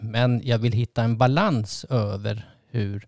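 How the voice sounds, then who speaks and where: Here a man speaks at a medium pitch. The recording is very clean, with a silent background. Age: 60s. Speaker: couples therapist and podcast host. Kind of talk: casual chat. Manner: halting.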